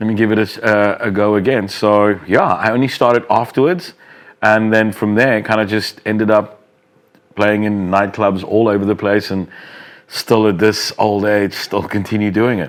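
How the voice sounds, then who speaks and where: Fairly even intonation from a man, fairly low in pitch, at a moderate pace. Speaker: club and radio DJ. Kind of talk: casual, conversational.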